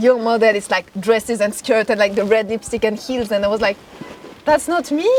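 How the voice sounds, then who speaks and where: Through noticeable background noise, a woman with a French accent speaks fairly quickly at a fairly high pitch with ordinary pitch variation. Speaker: fashion model. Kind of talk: casual interview chat.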